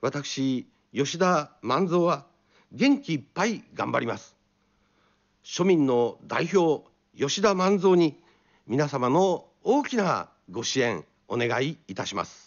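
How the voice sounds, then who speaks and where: A man speaks very slowly with a fairly high pitch and very wide pitch swings. His long pauses come often, and the background is quiet. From Tokyo. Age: 50s. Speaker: political candidate; candidate. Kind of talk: campaign speech. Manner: formal. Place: studio. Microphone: studio mic.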